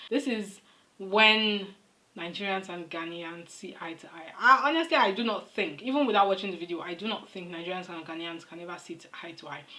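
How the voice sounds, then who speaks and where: Amid noticeable background noise, a woman talks at a fairly quick pace and medium pitch, her intonation lively and her loudness swinging widely. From Nigeria. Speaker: reaction video creator. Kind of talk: casual commentary to camera.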